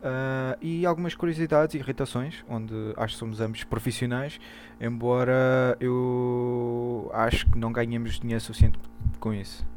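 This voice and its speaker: Noticeable background noise sits behind a man speaking at a medium pitch and a moderate pace, his intonation fairly even. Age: 20s. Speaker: podcast co-host. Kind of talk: casual comedic chat.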